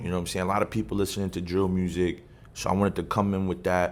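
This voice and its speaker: With music in the background, a man speaks in a very deep, low voice. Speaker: rapper. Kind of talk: interview. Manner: casual.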